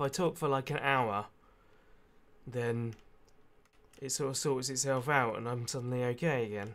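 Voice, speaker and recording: A man speaks quietly at a moderate pace with medium pitch and fairly even intonation, leaving long, frequent pauses, on a very clean recording with a silent background. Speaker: gaming youtuber. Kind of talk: casual let's play commentary.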